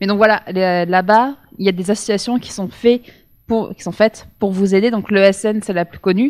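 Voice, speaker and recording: A woman with a plain, everyday voice at a medium pitch and moderate pace, fairly even intonation and big swings in loudness, in a dry, close sound with no echo. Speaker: former exchange student. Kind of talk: panel testimony.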